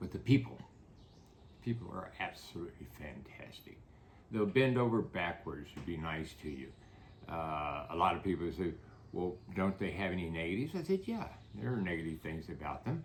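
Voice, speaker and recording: In an American accent, this speaker uses lively intonation and vocal fry at a moderate pace, with long, frequent pauses and audible room echo. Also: man, very deep, low pitch for a man. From United States. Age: 80s+. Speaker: real estate developer. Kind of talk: interview. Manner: halting, many fillers.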